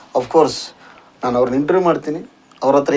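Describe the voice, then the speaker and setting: Using lively intonation, a man with an unremarkable speaking voice talks at a fairly high pitch. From North Karnataka. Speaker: YouTube channel host, interviewer. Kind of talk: interview.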